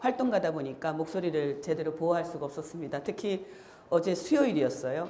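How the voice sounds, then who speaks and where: A woman speaks at a fairly low pitch. The room echo is audible and there is noticeable background noise. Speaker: activist and lecturer. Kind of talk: lecture.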